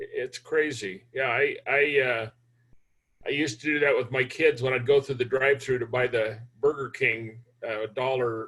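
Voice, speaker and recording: The man's voice has a bright, sharp tone and fairly even intonation. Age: 70s. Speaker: hard money lender and investor. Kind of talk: interview for a university class.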